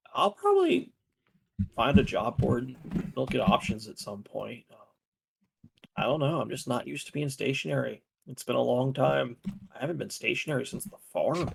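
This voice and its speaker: Putting on a raspy character voice, a man speaks at a moderate pace with big swings in loudness and long, frequent pauses. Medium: actual play. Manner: hesitant, halting.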